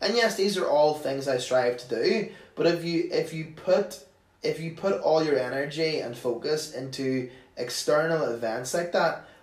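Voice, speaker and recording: A fairly high-pitched man with a Northern Irish accent at a moderate pace, with ordinary pitch variation, audible room echo and noticeable background noise. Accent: Northern Irish (Tyrone). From Northern Ireland, County Tyrone. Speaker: comedian. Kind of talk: casual chat.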